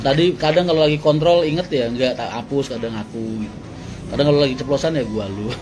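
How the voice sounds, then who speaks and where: Music plays in the background as a man speaks at a very fast pace. His pitch is fairly high, with ordinary pitch variation. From Tangerang, Indonesia. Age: young. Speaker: bus company owner. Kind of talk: casual live stream chat. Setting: live stream. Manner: casual.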